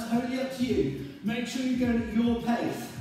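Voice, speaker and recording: Over music in the background and strong room echo, a man speaks at a fairly slow pace with extremely high pitch for a man. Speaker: fitness instructor. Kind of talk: workout instruction. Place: gym. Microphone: camera far.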